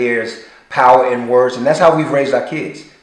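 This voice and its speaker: Audible room echo is present. The talking proceeds at a moderate pace. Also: man. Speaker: actor and parent. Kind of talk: casual chat.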